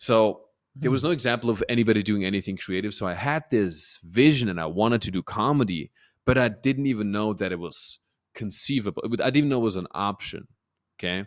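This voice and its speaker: A fairly quick pace, a German accent, and ordinary pitch variation. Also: man, fairly low pitch for a man, very clean recording, silent background. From Germany. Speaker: comedian and social media creator. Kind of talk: casual interview chat.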